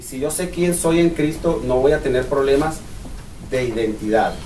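A man talks at a moderate pace, his pitch varying in an ordinary way, with light background noise and audible echo from the room. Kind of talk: bible study teaching. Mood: earnest, personal testimony. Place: meeting room. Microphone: camera far.

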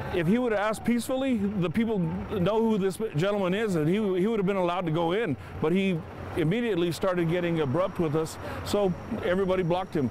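A man with a high pitch and ordinary pitch variation speaks very fast at very even loudness, with light background noise and a dry sound with no echo. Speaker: protester. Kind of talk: interview soundbite. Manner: earnest, emphatic. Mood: indignant, firm. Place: street. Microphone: lapel.

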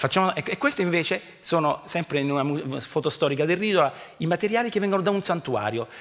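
A man at a very fast pace, high-pitched, with lively intonation against a quiet background. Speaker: archaeology professor. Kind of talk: lecture. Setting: stage with audience. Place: stage. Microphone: headset.

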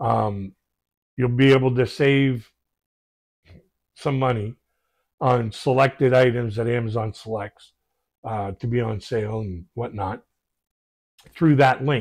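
A man talks at a fairly slow pace with long, frequent pauses and fairly even intonation, against a quiet background. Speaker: reaction video host. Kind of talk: casual vlog chat. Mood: warm, relaxed, reflective. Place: home room. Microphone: lapel.

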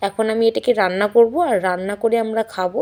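A woman speaks in a fairly high voice. Her tone is dark and mellow. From West Bengal, Jalpaiguri district (north Bengal). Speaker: village housewife vlogger. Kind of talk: casual vlog talk to camera.

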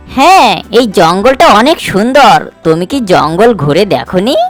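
A cartoonish character voice that sounds female speaks at a moderate pace with medium pitch and very wide pitch swings. Faint music plays in the background. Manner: friendly.

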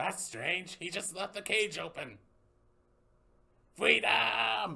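Putting on a cartoonish character voice, a man talks at a very slow pace with a high pitch. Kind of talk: puppet short film dialogue.

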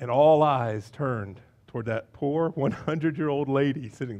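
Ordinary pitch variation around a medium pitch, from a man. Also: moderate pace, slightly mellow tone.

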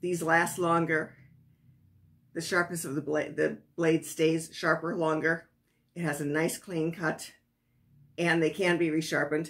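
Speaking with an American accent, a woman uses a fairly low pitch and monotone, flat intonation. Her pace is fairly slow, with long, frequent pauses. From US Midwest, Wisconsin. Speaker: sewing and pattern-making instructor; sewing instructor. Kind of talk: tutorial. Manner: halting with many fillers. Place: home room. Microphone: phone near.

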